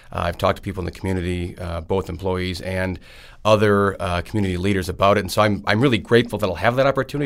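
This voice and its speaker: Speaking at a very fast pace, a man has a very deep, low voice and an Upper Midwest accent. The recording is very clean with a silent background. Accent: Upper Midwest American. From Wisconsin. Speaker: state senator and candidate. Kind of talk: casual interview.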